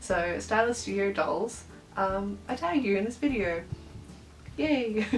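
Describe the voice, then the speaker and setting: A woman with an Australian accent speaks at a fairly slow pace and medium pitch, with lively intonation and long, frequent pauses, against noticeable background noise and audible room echo. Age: adult. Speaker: doll collector YouTuber. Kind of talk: casual vlog chat. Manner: animated.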